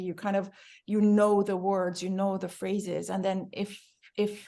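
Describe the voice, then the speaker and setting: A woman speaks in an American accent at a moderate pace. Her intonation is monotone and flat. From Iran. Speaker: book club organizer. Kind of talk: casual group discussion. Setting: video call.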